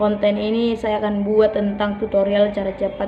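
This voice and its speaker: Over noticeable background noise, a woman's shrill voice moves at a moderate pace. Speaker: music channel host. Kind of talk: casual outro to a guitar tutorial.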